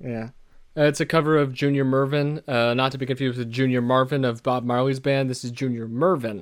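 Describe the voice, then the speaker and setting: Against a silent background in a very clean recording, a man with an ordinary speaking voice talks at a fairly quick pace, his pitch medium and his intonation fairly even. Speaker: podcast host. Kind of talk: casual chat about an album.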